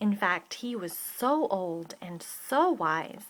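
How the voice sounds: Natural reading voice, nothing more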